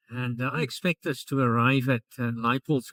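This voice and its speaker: A man talks at a fairly slow pace with an Afrikaans South African accent. His intonation is monotone and flat, and the sound is dry and close with no echo. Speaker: travel vlogger. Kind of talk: travel vlog narration.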